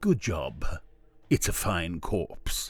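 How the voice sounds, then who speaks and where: With music in the background, a man speaks in a put-on character voice. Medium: read story. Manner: smooth, self-assured.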